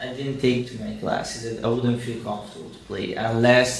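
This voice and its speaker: Speaking fairly quickly with an Italian accent, a man holds a flat, monotone delivery at medium pitch, with noticeable background noise and audible room echo. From Italy. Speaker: actor and producer. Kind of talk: interview.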